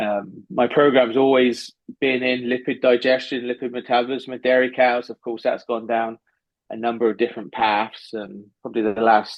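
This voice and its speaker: A man speaks with an English accent. His intonation is flat and monotone. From southwest England. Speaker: animal science professor. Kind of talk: podcast interview.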